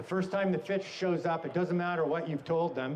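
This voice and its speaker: A man talks with a Canadian accent. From Canada. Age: 60s. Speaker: fishing guide. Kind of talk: talk at a trade show. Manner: animated.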